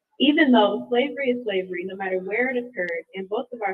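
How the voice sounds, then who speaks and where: Here is a woman with a plain, everyday voice and an American accent. Her medium-pitched speech moves at a fairly quick pace with lively intonation. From California. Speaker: education coordinator giving public comment. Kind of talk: public comment. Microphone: too quiet on headset.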